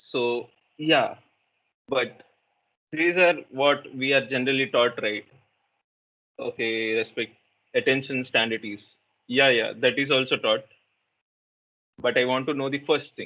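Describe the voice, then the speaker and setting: With a Telugu accent, a man speaks in fairly even intonation, leaving long, frequent pauses. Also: medium pitch for a man, fairly slow pace. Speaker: meditation workshop facilitator. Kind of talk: interactive workshop talk.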